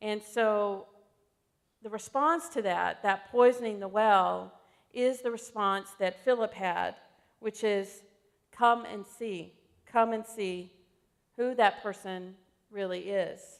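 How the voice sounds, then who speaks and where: In an American accent, a woman speaks very slowly at a fairly high pitch with ordinary pitch variation. She leaves long, frequent pauses. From US South, Alabama. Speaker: pastor. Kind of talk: sermon. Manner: conversational, frequent fillers.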